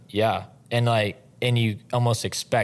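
The background is silent and the recording very clean. The man speaks with an American accent. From northwest Oklahoma. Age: 30s. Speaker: team roper and trailer salesman. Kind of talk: casual interview. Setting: studio. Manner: soft-spoken.

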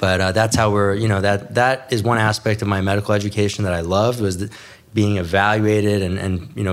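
An unremarkable speaking voice with an American accent moves at a fairly quick pace and keeps a fairly even intonation. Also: man. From New York City and New Jersey. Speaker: plastic surgeon. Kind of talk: interview.

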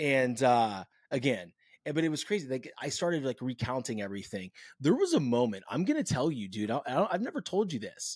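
A man with an American accent at medium pitch, fairly quick and with very wide pitch swings, on a very clean recording with a silent background. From California. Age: 40s. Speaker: podcast host. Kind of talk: casual interview.

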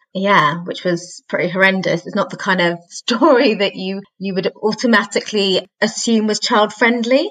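With a British accent, a woman of medium pitch speaks at a moderate pace with hardly any pauses. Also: ordinary pitch variation. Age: 30s. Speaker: children's author and singer-songwriter. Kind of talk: casual chat.

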